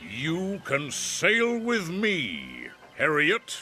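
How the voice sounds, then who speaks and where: A man puts on a character voice, pitched high. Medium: read story. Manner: loud, commanding.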